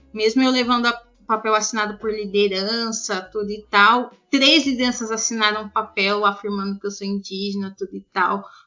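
A woman with a normal speaking voice talks at a moderate pace with hardly any pauses. Her pitch is fairly high and her intonation fairly even. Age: 20s. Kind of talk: interview. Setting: Skype call.

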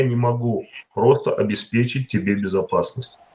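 A man talks at a fairly slow pace. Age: 50s. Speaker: worker and political assembly delegate. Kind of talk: online panel discussion. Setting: voice chat. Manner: plain, simple speech.

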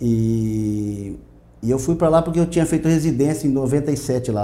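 There is audible room echo around this man's voice. He speaks in a medium pitch with a dark, mellow tone. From Brazil, Mato Grosso do Sul. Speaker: veterinarian. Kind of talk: interview. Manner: halting.

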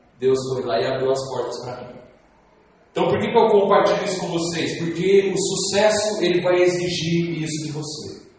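Animated tone from a man with a high pitch, ordinary pitch variation, big swings in loudness and a moderate pace, over noticeable background noise. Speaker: network marketing motivational speaker. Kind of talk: motivational sales-pitch sermon to a live crowd, preacher-like. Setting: stage with audience. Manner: animated, emphatic, rhetorical questions, rallying crowd.

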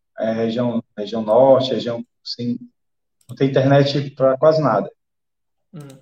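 A man talks at a medium pitch and moderate pace with ordinary pitch variation. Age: 40s. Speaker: special operations police officer and day trader. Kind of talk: podcast interview. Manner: halting, repeats words. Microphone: echo, volume dropping.

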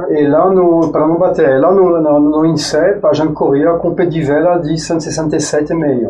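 Fairly high, monotone speech from a man with a French accent, flat in intonation, very even in loudness, at a fairly slow pace with hardly any pauses, with audible room echo. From France. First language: French (speaking Portuguese). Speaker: former track cyclist and engineer. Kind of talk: podcast interview. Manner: halting.

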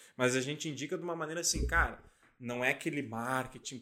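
A man with a medium pitch and a bright, sharp tone shows vocal fry as he talks at a fairly quick pace. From Santa Catarina, Brazil (Lages). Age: 20s. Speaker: lawyer and legal tech entrepreneur. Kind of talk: casual interview.

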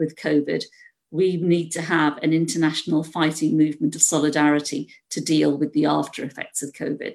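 At a fairly quick pace, a woman talks in a very deep, low pitch with fairly even intonation. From Britain. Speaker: university lecturer. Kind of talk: panel talk. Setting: video call.

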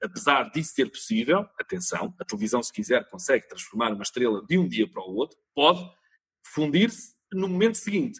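With a European Portuguese accent, a man talks at a fairly quick pace, using very wide pitch swings and vocal fry. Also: dry, close sound with no echo. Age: 40s. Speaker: TV producer and company founder. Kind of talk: interview.

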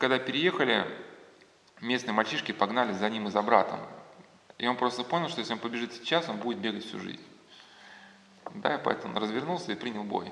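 A man at medium pitch talks very fast with lively intonation and long, frequent pauses, amid noticeable background noise and audible room echo. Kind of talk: lecture. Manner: halting, many filler words.

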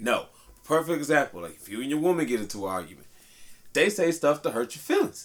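Talking at a fairly quick pace, a man with fairly high pitch and vocal fry lets his pitch swing very widely. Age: 30s. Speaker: podcast host. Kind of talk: casual chat.

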